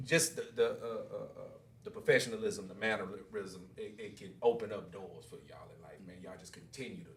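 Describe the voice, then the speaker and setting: Fairly quick male speech in audible room echo. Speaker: podcast host. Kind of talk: casual interview. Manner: loud.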